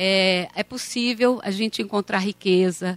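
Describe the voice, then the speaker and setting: A woman's voice, with ordinary pitch variation, sounds dry and close with no echo while music plays in the background. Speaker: university lecturer. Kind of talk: event introduction. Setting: auditorium with audience.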